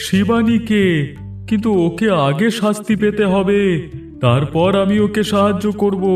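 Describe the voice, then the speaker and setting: A man's high-pitched, cartoonish character voice over clear music in the background. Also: fairly slow pace. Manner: calm, authoritative.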